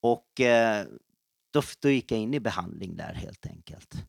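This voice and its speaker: Recorded dry and close with no echo, a man speaks very slowly at a medium pitch with fairly even intonation. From Stockholm, Sweden. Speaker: missionary and pastor. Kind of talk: testimony. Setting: office break room.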